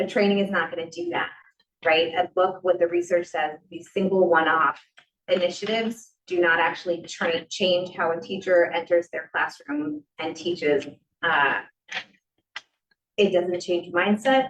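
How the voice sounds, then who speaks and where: A woman speaks at a moderate pace in a fairly low pitch, with an ordinary speaking voice. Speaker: teacher presenting subcommittee proposal. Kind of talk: presentation at public meeting. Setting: school committee meeting in library.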